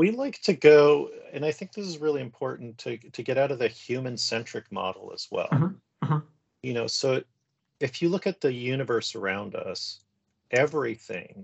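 A man with a Canadian accent talks at a moderate pace using lively intonation and long, frequent pauses. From western Canada. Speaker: professor. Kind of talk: interview conversation.

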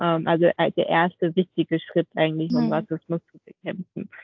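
Her pitch fairly low, a woman speaks at a fairly slow pace with monotone, flat intonation. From Vietnam. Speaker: podcast co-host. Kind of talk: interview. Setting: video call.

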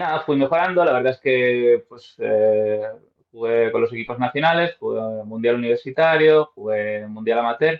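A man's normal speaking voice at medium pitch, fairly slow in pace, with ordinary pitch variation and big swings in loudness. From Spain, Madrid. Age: 30s. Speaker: professional golfer and golf coach. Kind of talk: interview.

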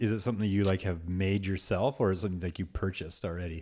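At a fast pace, the voice has a slightly mellow tone and fairly even intonation. The recording is very clean, with a silent background. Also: man, low pitch for a man.

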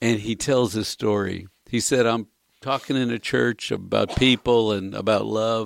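With a normal speaking voice, a man talks at a fairly slow pace in a medium pitch and fairly even intonation, in a dry, close sound with no echo. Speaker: radio co-host. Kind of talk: casual chat.

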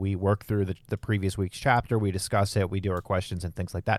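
Fairly low in pitch, a man talks at a fairly quick pace in an ordinary speaking voice. The recording is very clean, with a silent background. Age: 30s. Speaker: podcast host and church elder. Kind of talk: casual chat.

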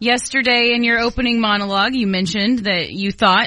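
A bright, sharp tone comes through at a very fast pace. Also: woman. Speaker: radio co-host. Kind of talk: casual chat. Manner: enthusiastic, friendly.

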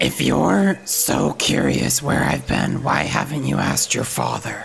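Raspy put-on character voice from a man, fairly slow, with clear background noise. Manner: guarded, curt.

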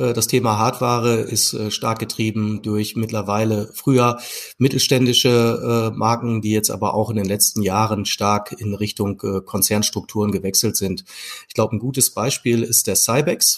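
A man's unremarkable speaking voice, mid-range in pitch, with fairly even intonation and a moderate pace. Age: 40s. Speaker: e-commerce executive. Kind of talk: interview. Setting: video call.

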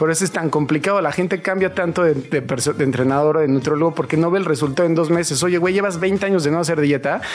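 Very fast pace with hardly any pauses, very even loudness and ordinary pitch variation over noticeable background noise. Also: man. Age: 40s. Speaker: fitness trainer. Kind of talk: casual interview.

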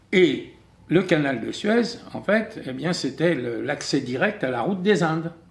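Very slow, fairly high-pitched speech from a man, with vocal fry and very wide pitch swings. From France. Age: 70s. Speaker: writer and commentator. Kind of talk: testimony.

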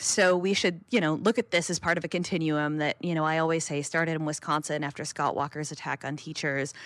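In an ordinary speaking voice, a woman talks at a fairly quick pace with a fairly low pitch. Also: very clean recording, silent background. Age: 30s. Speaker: labor journalist. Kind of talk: interview.

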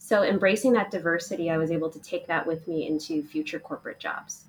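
A woman's fairly low voice with a slightly husky edge, big pitch swings and a fast pace

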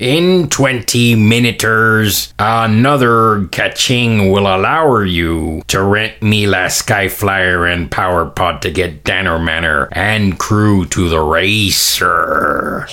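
A man puts on a character voice, fairly low in pitch, with light background noise. He talks very slowly with hardly any pauses. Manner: friendly, haggling.

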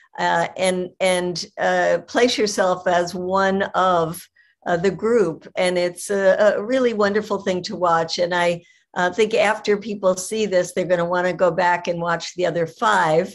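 A woman talks in an ordinary speaking voice at a medium pitch. Her pace is fairly slow and her intonation fairly even. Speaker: activist and event moderator. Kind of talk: online event moderation. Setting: video call.

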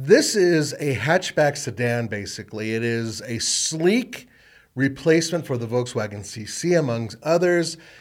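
A man with a normal speaking voice, fairly high in pitch, lively in intonation and fairly slow in pace, on a very clean recording with a silent background. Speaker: automotive podcast host. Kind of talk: casual chat. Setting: studio.

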